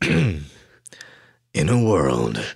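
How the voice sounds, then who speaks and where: This man's voice is a put-on character. It sits very deep and low in pitch. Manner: dramatic.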